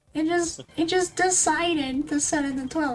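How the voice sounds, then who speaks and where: A woman at a fairly slow pace. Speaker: streamer. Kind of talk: casual chat. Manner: animated. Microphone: too quiet, mic level reset to twelve.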